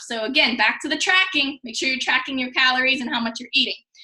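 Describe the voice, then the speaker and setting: A woman projects a raised voice at a high pitch with ordinary pitch variation. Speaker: fitness coach. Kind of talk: tutorial. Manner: fast.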